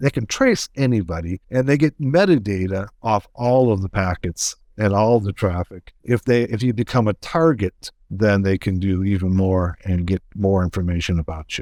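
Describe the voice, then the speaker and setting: An unremarkable speaking voice from a man with an American accent, fairly low pitch, ordinary pitch variation, a moderate pace and hardly any pauses, in a dry, close sound with no echo. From United States.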